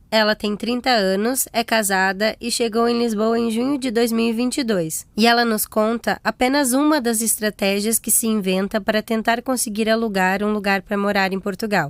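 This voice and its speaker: A woman with a plain, everyday voice speaks at a moderate pace and fairly high pitch, her intonation fairly even and her delivery with hardly any pauses, on a very clean recording with a silent background. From Brazil. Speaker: podcast host. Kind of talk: scripted narration.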